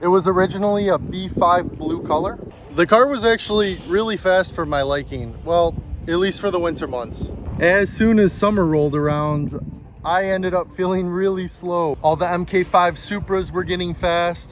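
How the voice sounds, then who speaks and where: A man's high-pitched voice with an American accent, a moderate pace and fairly even intonation over noticeable background noise. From US Midwest, Chicago area. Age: 20s. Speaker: car enthusiast YouTuber. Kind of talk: casual vlog intro.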